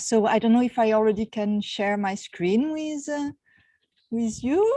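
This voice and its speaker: A woman speaks in a French accent with a fairly high pitch. Her tone is dark and mellow, and her pitch varies in an ordinary way. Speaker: university researcher. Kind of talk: online lecture. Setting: outdoors on a terrace, video call.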